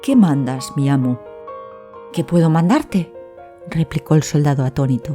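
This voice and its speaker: A woman speaks in a soothing, calm tone. Music plays in the background. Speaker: storyteller. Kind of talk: sleep story.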